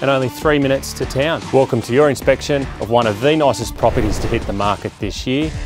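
A man talks at a very fast pace with hardly any pauses and ordinary pitch variation, the sound dry with no echo and clear music in the background. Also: medium pitch for a man. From Australia. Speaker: real estate agent and auctioneer. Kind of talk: property tour walkthrough narration. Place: garden.

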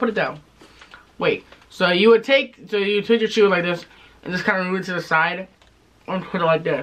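A man's high-pitched voice at a fairly quick pace, against noticeable background noise. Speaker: tobacco review youtuber. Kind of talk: casual review chat.

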